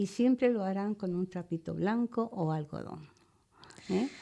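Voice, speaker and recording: Her tone is dark and mellow as this woman speaks at a fairly slow pace, with a medium pitch and ordinary pitch variation. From Spain, León (Ponferrada area). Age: 70s. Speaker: psychic and natural healer. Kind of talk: interview. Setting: radio studio.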